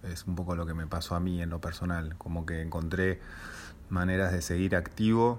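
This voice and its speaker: The speaker has a Rioplatense accent and fairly even intonation. Room echo is audible. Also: man. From Buenos Aires, Argentina. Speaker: jazz pianist and composer. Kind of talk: interview. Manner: halting, many fillers and repetitions.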